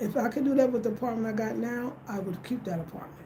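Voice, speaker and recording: Very fast speech comes from a woman with an American accent and ordinary pitch variation. The room has audible echo and noticeable background noise. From United States. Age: 50s. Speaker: home design and wellness YouTuber. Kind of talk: casual livestream Q&A.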